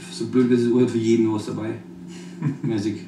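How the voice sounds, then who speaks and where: A man speaks fairly slowly, with ordinary pitch variation, while noticeable background noise carries on. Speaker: rapper. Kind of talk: interview answer.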